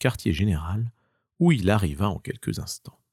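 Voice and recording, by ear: A man speaks in a fairly low pitch with a slightly mellow tone and a slightly husky edge. The sound is dry and close with no echo, in a very clean recording with a silent background.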